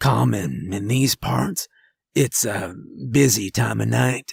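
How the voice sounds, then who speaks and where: Using a put-on character voice, a man speaks fairly slowly at a fairly low pitch, raspy and croaky, with very wide pitch swings and a dry, close sound with no echo. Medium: read story. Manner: terse, gruff.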